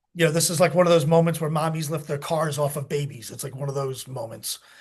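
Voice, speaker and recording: Talking at a fairly quick pace with an American accent, a man with a fairly high, somewhat breathy voice swings widely in loudness. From United States. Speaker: military veteran and rescue operator. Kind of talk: interview storytelling. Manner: animated, halting with many fillers.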